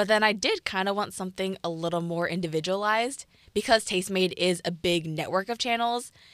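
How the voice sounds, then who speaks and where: A woman with a Californian accent speaks at a fairly quick pace on a very clean recording with a silent background. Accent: General American, Californian. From US West Coast, Piedmont, California. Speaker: YouTuber and student entrepreneur. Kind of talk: interview, casual chat.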